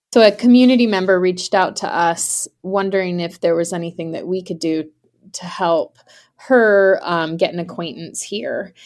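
With a plain, everyday voice, a woman talks at a moderate pace and medium pitch, ordinary pitch variation, and big swings in loudness on a very clean recording with a silent background. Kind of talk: interview.

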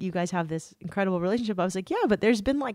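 Over a silent background in a very clean recording, a woman with an American accent speaks with lively intonation. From US West Coast, San Diego area. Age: 40s. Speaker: journalist and podcast host. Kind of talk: casual chat.

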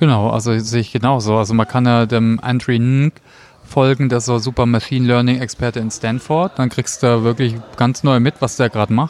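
With an ordinary speaking voice, a man talks at a fairly quick pace, keeping a medium pitch and fairly even intonation. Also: very even loudness. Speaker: podcast host. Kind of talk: interview. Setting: cafeteria at a conference.

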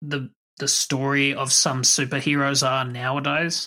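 A man with an Australian accent, fairly high-pitched and bright, sharp in tone, at a fairly slow pace, on a very clean recording with a silent background. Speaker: podcast host. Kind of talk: casual chat.

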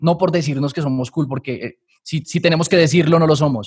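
Captured with a dry, close sound and no echo, a man talks at a very fast pace, somewhat breathy, with fairly even intonation. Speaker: systems engineer and academy founder. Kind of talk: casual interview.

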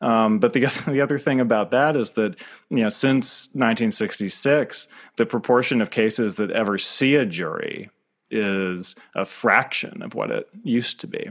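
A man speaks at a moderate pace in a medium pitch, his intonation lively. The recording is very clean, with a silent background. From rural northeastern US. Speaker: author. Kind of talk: interview. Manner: halting, many fillers and repeats.

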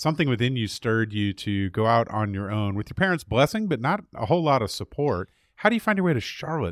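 Speaking at a very fast pace with hardly any pauses, a man of medium pitch makes very wide pitch swings. The sound is dry and close with no echo, in a very clean recording with a silent background. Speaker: podcast host and mediator. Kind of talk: interview conversation.

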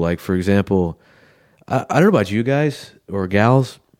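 This very clean recording with a silent background carries a normal speaking voice moving at a moderate pace with ordinary pitch variation. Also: man. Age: 40s. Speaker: pathologist podcast host. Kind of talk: solo podcast monologue. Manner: casual, conversational.

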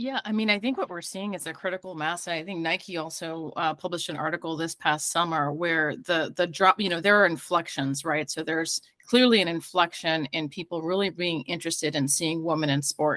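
A woman with an American accent, fairly low pitch and a bright, sharp tone, at a fairly quick pace with hardly any pauses, in a dry, close sound with no echo. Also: ordinary pitch variation. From New York / New Jersey. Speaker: tech startup CEO. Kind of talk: panel discussion.

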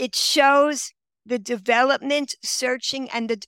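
The voice has a bright, sharp tone and an American accent. The sound is dry and close, with no echo. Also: woman. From Queens, New York. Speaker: author. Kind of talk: interview.

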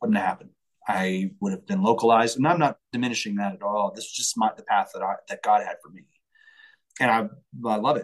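Speaking in an ordinary speaking voice at medium pitch, a man moves at a fairly quick pace with lively intonation and big swings in loudness. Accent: American. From Colorado, US. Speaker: singer-songwriter and entrepreneur. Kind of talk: casual interview.

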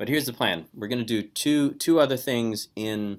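Quiet speech at a moderate pace. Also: man. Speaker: Bible course teacher. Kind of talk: online lecture. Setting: video call.

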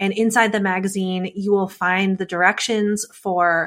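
Over a very clean recording with a silent background, a woman talks in a plain, everyday voice at medium pitch and a moderate pace. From United States. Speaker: podcast host and teacher. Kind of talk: podcast monologue; interview.

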